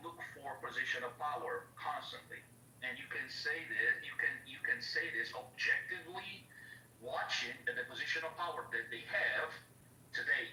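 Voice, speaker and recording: A man speaks at a fairly slow pace. Echo from the room can be heard. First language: not English. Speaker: caller in live audio chat room. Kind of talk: heated debate. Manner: halting.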